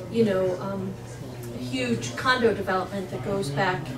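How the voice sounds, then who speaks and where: A woman keeps a moderate pace while loud background noise surrounds her. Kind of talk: meeting discussion. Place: meeting room. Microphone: camera far.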